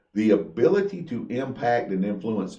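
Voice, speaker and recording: Loud and with audible room echo, a man with a dark, mellow tone and medium pitch speaks at a moderate pace with very wide pitch swings. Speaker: Masonic podcast co-host. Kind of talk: casual chat.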